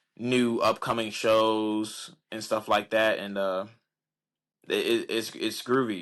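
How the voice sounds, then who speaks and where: A man keeps his intonation fairly even, his pitch fairly low. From Chicago. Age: young. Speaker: musician and actor. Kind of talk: interview answer. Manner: casual, hesitant.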